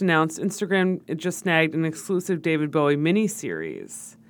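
A woman with an American accent and a plain, everyday voice, at a moderate pace with ordinary pitch variation. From New York. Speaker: podcast co-host, content marketer. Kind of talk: casual chat.

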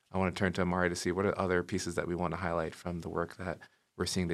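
A man's very deep, low voice, monotone and flat, at a very fast pace on a very clean recording with a silent background. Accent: American. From Brooklyn, New York. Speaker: university inclusion director. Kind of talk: casual interview. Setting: studio.

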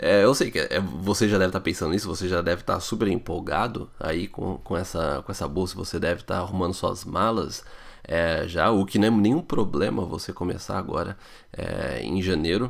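Speaking at a fairly quick pace, this man has a very deep, low voice and ordinary pitch variation. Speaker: podcast host answering immigration questions. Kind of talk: listener Q&A podcast.

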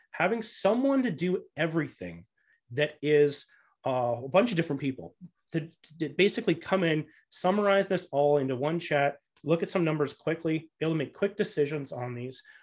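Against a quiet background, a man with a fairly high pitch speaks at a fairly quick pace with ordinary pitch variation. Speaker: real estate investor and podcast host. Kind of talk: interview. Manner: frequent fillers and restarts.

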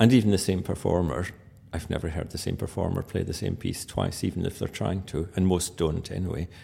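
With a Scottish accent, a man speaks very deep and low in a dark, mellow tone, at a fairly quick pace with ordinary pitch variation. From Scotland. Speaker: pianist and musicologist. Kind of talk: interview.

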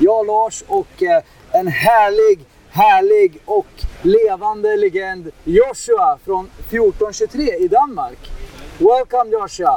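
A man with a Swedish accent speaks at a high pitch and a very slow pace, his pitch swinging very widely. The sound is dry and close with no echo, though background noise is noticeable. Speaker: podcast host. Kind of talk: interview; scripted intro. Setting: trade fair in Berlin.

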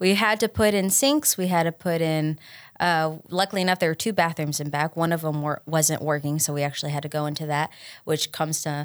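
On a very clean recording with a silent background, a woman with a Tennessee accent talks at a fairly quick pace in a very deep, low voice with fairly even intonation. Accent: Southern US (Tennessee). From West Tennessee, Troy. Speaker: bakery owner. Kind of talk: interview. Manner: halting, many fillers.

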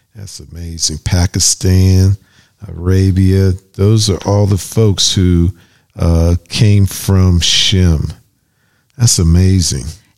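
A man with an American accent speaks at a very slow pace in a very deep, low voice. His intonation stays fairly even, and the sound is dry and close with no echo. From US, Pittsburgh, Pennsylvania. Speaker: pastor and radio host. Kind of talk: radio show discussion on bible teaching.

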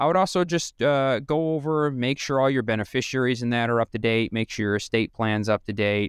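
A normal speaking voice with ordinary pitch variation and very even loudness, dry and close with no echo, in a very clean recording with a silent background. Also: man, medium pitch for a man, fairly quick pace, hardly any pauses. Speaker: financial advisor radio host. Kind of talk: radio show advice talk. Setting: radio studio.

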